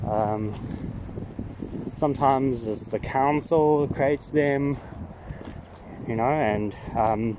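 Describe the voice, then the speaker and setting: A man speaks at medium pitch and a very slow pace, with long, frequent pauses over noticeable background noise. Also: ordinary pitch variation. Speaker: trail walking vlogger. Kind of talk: walking vlog monologue. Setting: outdoors on a walking trail. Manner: halting, many fillers; casual, thinking aloud.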